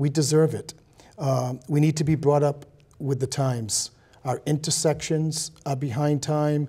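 A man speaks at a fairly slow pace in a dark, mellow tone that is somewhat breathy and monotone, with flat intonation. The background is quiet. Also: fairly high pitch for a man. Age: 50s. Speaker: city council candidate and health inspector; council candidate. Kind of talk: interview. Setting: TV studio. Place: studio. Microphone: lapel.

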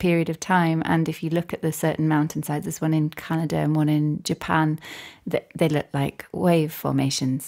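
A woman's fairly low voice with a North Yorkshire accent, on a very clean recording with a silent background. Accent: broad northern Yorkshire. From Yorkshire (Barnsley), born Northern Ireland. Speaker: composer and musician. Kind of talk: casual interview chat.

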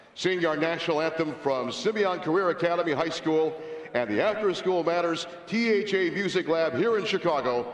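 A man talks at a fairly quick pace in a high pitch. Audible room echo surrounds his voice. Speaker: PA announcer. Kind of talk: arena PA announcement reading lineups and anthem intro. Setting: arena PA system. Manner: formal, crisp, measured, ceremonial. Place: stadium.

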